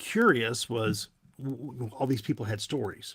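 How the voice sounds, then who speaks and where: Over a very clean recording with a silent background, a man with a Southern US accent speaks at a moderate pace with monotone, flat intonation. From US South, Tennessee. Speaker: paranormal investigator, TV personality. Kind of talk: podcast interview. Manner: halting, many fillers.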